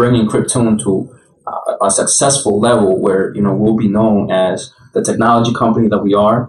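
Noticeable background noise under speech at a moderate pace. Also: man. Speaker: podcast co-host. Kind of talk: interview.

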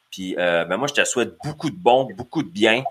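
A man talks at medium pitch. His tone is bright and sharp. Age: 30s. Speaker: podcast host. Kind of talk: casual chat. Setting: live video stream.

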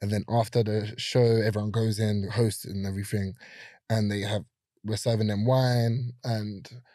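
A man with a London accent speaks at a fairly low pitch in a dark, mellow tone. His intonation is monotone and flat, on a very clean recording with a silent background. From South London, Brixton. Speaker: photographer and content creator. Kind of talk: casual chat. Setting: studio.

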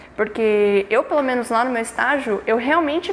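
Noticeable background noise fills the recording. Over it, the intonation rises and falls in a lively way. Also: woman. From São Paulo metro area, Brazil. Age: 20s. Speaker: engineering student and intern. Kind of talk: casual interview.

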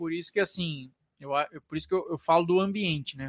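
Fairly quick and fairly high-pitched, a man talks in an ordinary speaking voice with ordinary pitch variation, recorded very cleanly against a silent background with a dry, close sound and no echo. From interior of São Paulo state, Brazil. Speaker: physiotherapist and business mentor. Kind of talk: podcast interview.

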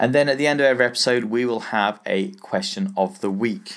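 On a very clean recording with a silent background, a man with an English accent talks at a fairly quick pace and a medium pitch. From England. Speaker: business podcast host. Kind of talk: solo podcast monologue. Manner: casual, conversational.

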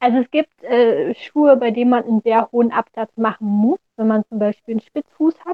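The woman's speech keeps a medium tempo. Her pitch moves fairly little. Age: 20s. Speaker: orthopedic shoemaker. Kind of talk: interview.

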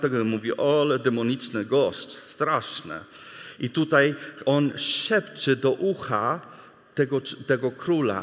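A man speaks in an English accent with a fairly high pitch. His pace is very slow. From US, Texas. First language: English (speaking Polish). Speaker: missionary preacher. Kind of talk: sermon.

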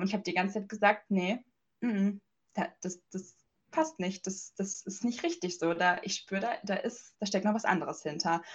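A woman speaks in a somewhat breathy voice. Her pitch varies in an ordinary way. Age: 20s. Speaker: life coach and energy healer. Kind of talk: interview.

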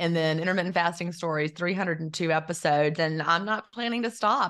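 A woman talks at a fairly quick pace in a plain, everyday voice. Her intonation stays fairly even over a quiet background. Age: 50s. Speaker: intermittent fasting author and former teacher. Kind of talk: interview.

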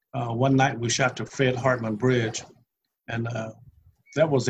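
Somewhat breathy and at a moderate pace, a man with an American accent speaks at medium pitch in a monotone, flat intonation. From US South, Nashville, Tennessee. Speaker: photographer, retired air traffic controller. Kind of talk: interview. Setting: video call.

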